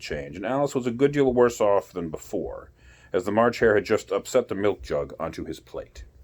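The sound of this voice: An unforced reading voice rises and falls with ordinary pitch variation.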